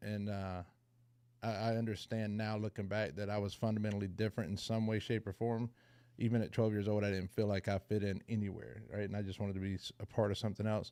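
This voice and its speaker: Speaking at a very fast pace, a man uses a dark, mellow tone and monotone, flat intonation in a Southern US accent. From US South, rural Georgia near Savannah. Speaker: person in recovery sharing story. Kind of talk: recovery meeting testimony. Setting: video call.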